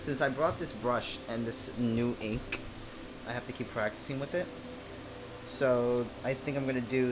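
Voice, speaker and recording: Fairly even intonation at a moderate pace, with audible room echo and music in the background. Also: man. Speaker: artist livestreamer. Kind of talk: casual livestream chat while drawing.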